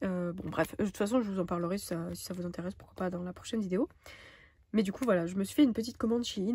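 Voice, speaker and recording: A woman talks at a very fast pace in a medium pitch with ordinary pitch variation. Her tone is dark and mellow, and somewhat breathy. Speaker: budgeting vlogger. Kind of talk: casual vlog chat. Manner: hesitant, many fillers.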